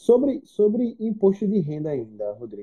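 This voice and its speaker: A man's voice swings very widely in pitch while keeping a moderate pace. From Northeast Brazil. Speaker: investment educator and live-stream host. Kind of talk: casual chat. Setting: live stream video call.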